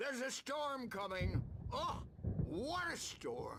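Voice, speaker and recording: Very slowly, this man delivers his lines. He's doing a put-on character voice with an extremely high pitch. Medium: video game. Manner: rambling, gleeful.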